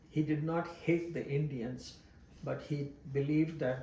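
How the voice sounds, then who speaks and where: Audible room echo surrounds a man's voice. He talks fairly slowly with fairly even intonation. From Pakistan, Karachi (born in Bombay). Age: 80s+. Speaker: immigrant interviewee. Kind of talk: personal testimony interview.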